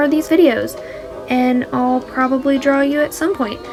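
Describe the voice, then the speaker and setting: With music in the background, a woman speaks at a high pitch. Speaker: digital artist. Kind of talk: casual chat. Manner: casual, hesitant with fillers.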